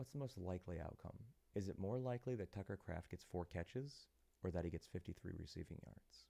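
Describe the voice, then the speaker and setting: This man has a very deep, low pitch and a dark, mellow tone. He is soft-spoken, talks at a very fast pace, and uses lively intonation. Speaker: sports betting show host. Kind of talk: live stream commentary on betting picks.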